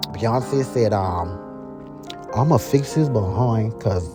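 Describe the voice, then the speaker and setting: A man with a South Carolina Lowcountry accent talks at a medium pitch with lively intonation. Music plays in the background. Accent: Gullah Geechie, Lowcountry South Carolina. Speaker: storyteller. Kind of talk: casual storytelling, gossip tale.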